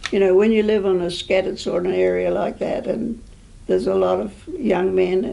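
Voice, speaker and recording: Audible room echo surrounds the speaker's New Zealand accent. The pace is moderate. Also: woman. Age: 80s+. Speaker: oral history interviewee. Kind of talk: oral history interview. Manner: halting.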